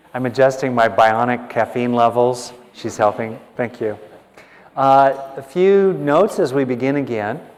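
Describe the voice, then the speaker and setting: Amid noticeable background noise, a man speaks at a moderate pace with medium pitch and ordinary pitch variation. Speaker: meditation or workshop leader. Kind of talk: workshop talk to live audience. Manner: animated.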